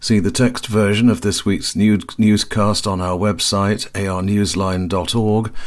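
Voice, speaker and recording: A man with an unremarkable speaking voice talks at a moderate pace, fairly low in pitch with ordinary pitch variation. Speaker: news reporter. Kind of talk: scripted news reporting.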